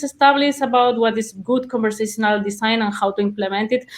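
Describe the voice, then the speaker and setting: A woman talks with a Spanish accent. Her voice is fairly high, and her intonation is fairly even. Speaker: conversation analyst, webinar presenter. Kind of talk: webinar presentation. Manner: halting, many repetitions and fillers.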